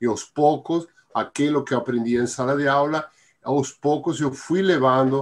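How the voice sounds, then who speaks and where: Against a quiet background, a man with a Spanish accent speaks at a fairly slow pace with lively intonation. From Argentina. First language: Spanish (speaking Portuguese). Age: 70s. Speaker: Biodanza teacher. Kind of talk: interview. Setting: live stream. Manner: halting.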